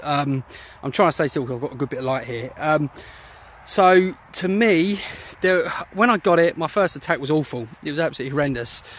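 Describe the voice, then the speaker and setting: Over noticeable background noise, a man with a British accent speaks at a fairly quick pace, fairly high in pitch with ordinary pitch variation. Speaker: former anxiety sufferer and website founder. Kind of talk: personal testimony. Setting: outdoors, walking. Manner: fast.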